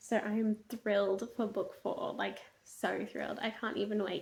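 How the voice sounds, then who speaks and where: Her voice is fairly high and somewhat breathy. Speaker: book reviewer vlogger. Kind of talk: casual video monologue. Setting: at home at night. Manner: quiet, hushed; animated.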